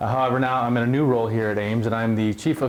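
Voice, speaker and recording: A man rattles along at a very fast pace at medium pitch, his intonation fairly even. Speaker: college administrator. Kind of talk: presentation at orientation. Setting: room with live audience.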